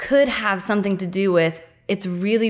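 At a moderate pace, a woman with a plain, everyday voice speaks at a medium pitch in an American accent. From US small town. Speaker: podcast guest. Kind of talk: casual chat.

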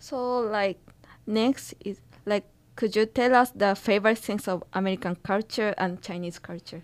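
A woman with a Japanese accent speaks at a moderate pace and medium pitch, with fairly even intonation. The recording is very clean, with a silent background. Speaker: student podcast host. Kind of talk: interview.

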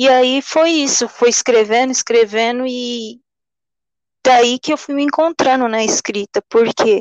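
A woman with a high pitch speaks at a fairly slow pace and with fairly even intonation. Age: 20s. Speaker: poet. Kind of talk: interview. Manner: halting.

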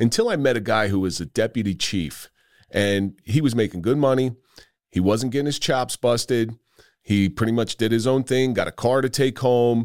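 A man speaks at a moderate pace with an American accent, his pitch medium and its variation ordinary. His loudness stays very even, and the recording is very clean and dry, close-miked with no echo over a silent background. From New Jersey. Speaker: retired police officer and podcast host. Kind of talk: casual interview chat. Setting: in-person studio.

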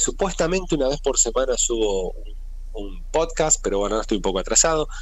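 Audible room echo surrounds the recording. The male speaker keeps a fairly quick speed. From Argentina. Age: 40s. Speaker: evangelist. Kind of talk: interview. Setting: phone call.

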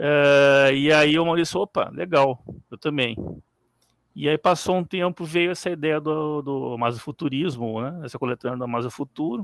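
Dry and close with no echo, a man talks at a moderate pace and fairly high pitch in a normal speaking voice. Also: ordinary pitch variation. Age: 40s. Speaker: IT professional and fiction writer. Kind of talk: live stream interview.

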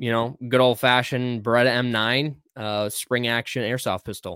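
A man with an American accent talks fairly slowly at medium pitch in a monotone, flat way. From Wisconsin, US. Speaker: co-host and firearms instructor. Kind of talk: casual chat. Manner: many filler words.

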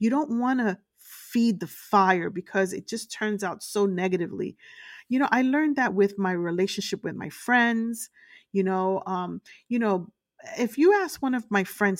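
A woman with a New York accent, animated in tone, at a medium pitch and moderate pace with ordinary pitch variation, on a very clean recording with a silent background and a dry, close sound with no echo. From Brooklyn, New York. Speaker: podcast host and motivational speaker. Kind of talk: motivational talk.

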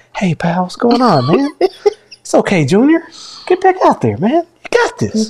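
A woman's high-pitched, put-on character voice. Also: moderate pace. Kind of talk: casual, friendly. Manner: gentle, encouraging.

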